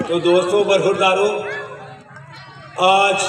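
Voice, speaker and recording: A man's voice with audible room echo. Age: 70s. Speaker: fitness YouTuber. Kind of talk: motivational speech. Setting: outdoors in a park.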